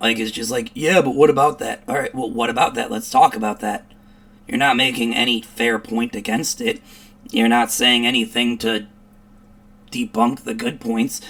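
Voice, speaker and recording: The speaker has a Chicago accent. The delivery moves at a moderate pace. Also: man. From US Midwest, Chicago area. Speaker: commentary streamer. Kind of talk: reaction commentary. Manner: animated.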